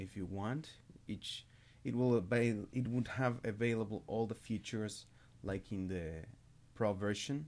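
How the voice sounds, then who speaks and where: This man's pitch sits fairly low, with ordinary variation. His pace is moderate. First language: not English. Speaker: music production tutorial maker; hobbyist music tutor. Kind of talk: tutorial. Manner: halting, with self-corrections. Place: home room. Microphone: webcam.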